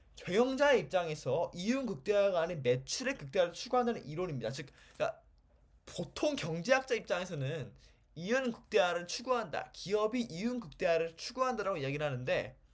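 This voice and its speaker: A man talks at a high pitch and a fairly quick pace. His pitch swings very widely. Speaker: economics lecturer. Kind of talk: lecture. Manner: fast.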